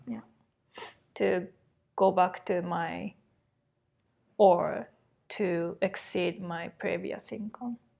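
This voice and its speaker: A woman with a Japanese accent speaks at a very slow pace, leaving long, frequent pauses. Her loudness swings widely. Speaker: podcast co-host. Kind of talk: casual chat.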